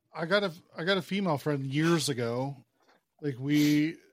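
The recording is very clean, and nothing sounds in the background. The speaker is a man. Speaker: podcast host. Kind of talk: casual chat.

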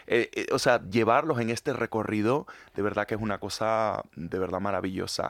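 A man with a Latin American accent speaks at a medium pitch with a dry, close sound with no echo in a very clean recording with a silent background. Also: ordinary pitch variation, moderate pace. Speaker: musical theatre actor. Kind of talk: interview. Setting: studio.

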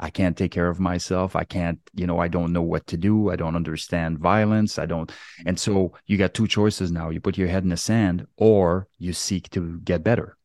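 A man speaks with a very deep, low voice. His intonation is fairly even, with hardly any pauses. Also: moderate pace, dry, close sound with no echo, quiet background. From Quebec, Canada. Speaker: retired police officer and military veteran. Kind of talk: casual interview.

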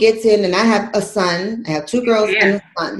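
A woman's somewhat breathy, animated voice at a moderate pace, with ordinary pitch variation. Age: 40s. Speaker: radio show host, fitness and lifestyle coach. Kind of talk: casual chat.

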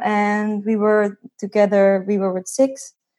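With a Dutch accent, a woman speaks at a medium pitch against a quiet background. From Netherlands. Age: 20s. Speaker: financial independence blogger. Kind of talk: interview.

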